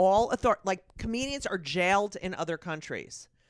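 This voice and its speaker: In a dry, close recording with no echo and a silent background, very clean, a woman speaks at a fairly slow pace with an animated tone and lively intonation. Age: 60s. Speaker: comedian. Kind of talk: podcast interview.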